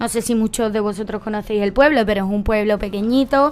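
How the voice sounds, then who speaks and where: A woman's fairly high voice in a strong Andalusian accent, fairly quick in pace, with fairly even intonation. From Andalusia, Cádiz. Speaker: political talk show panelist. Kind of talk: panel discussion.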